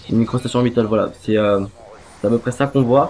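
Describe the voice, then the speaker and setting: There is noticeable background noise as a man speaks at medium pitch with fairly even intonation. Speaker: gaming youtuber. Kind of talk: gameplay commentary. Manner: halting, many fillers. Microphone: poor quality microphone.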